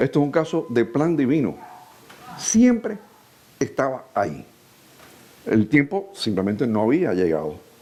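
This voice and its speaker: A man is speaking. His pitch sits fairly high for a man. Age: 60s. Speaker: preacher. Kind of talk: sermon.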